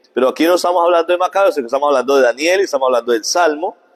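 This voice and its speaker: This man speaks in a high voice. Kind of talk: catechesis lecture.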